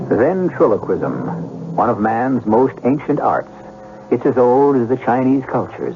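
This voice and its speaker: Against noticeable background noise, a man of medium pitch speaks at a moderate pace with very even loudness and ordinary pitch variation. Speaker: radio drama host. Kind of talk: radio drama host introduction. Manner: measured, urbane.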